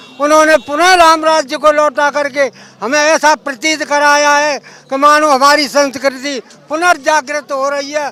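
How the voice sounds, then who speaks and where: A man's raised, projected voice at an extremely high pitch, monotone and flat, over noticeable background noise. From Agra, Uttar Pradesh, India. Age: 80s+. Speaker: sadhu pilgrim. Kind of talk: street interview. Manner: formal.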